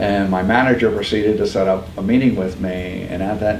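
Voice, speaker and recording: A man with an American accent and a very deep, low pitch talks at a fairly quick pace, with noticeable background noise and audible room echo. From upstate New York. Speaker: pregnancy center founder. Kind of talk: podcast interview.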